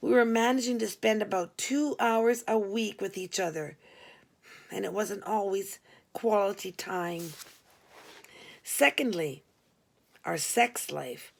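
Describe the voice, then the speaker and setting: Using a raspy put-on character voice, a woman speaks at a fairly slow pace in a medium pitch, with long, frequent pauses. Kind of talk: humorous memoir reading. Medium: read story. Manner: conversational, wry.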